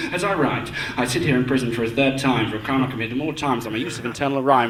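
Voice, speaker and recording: Over noticeable background noise, a man speaks in a raised, projected voice at a very fast pace. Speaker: performance poet. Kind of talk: rhythmic spoken word poetry performance. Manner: rhythmic, fast.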